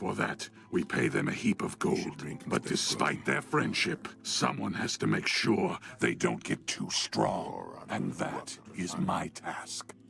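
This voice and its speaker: A man puts on a character voice at a fairly slow pace. Clear music plays behind him. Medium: video game. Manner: gruff, contemptuous.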